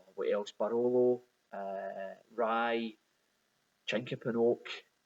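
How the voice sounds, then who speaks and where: A man with a Glaswegian accent, a medium pitch and a very slow pace. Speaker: whisky bottler. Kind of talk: recorded video message. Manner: halting, many repetitions.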